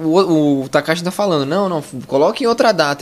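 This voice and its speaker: A man speaks in a plain, everyday voice. His pitch sits fairly high and his pace is fairly quick. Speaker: podcast host. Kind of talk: casual chat.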